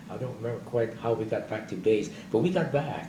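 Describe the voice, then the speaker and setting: With audible room echo, a man talks at a moderate pace and medium pitch, his dark, mellow tone carrying vocal fry and lively intonation. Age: 80s+. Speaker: war veteran. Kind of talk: oral history interview. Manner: halting.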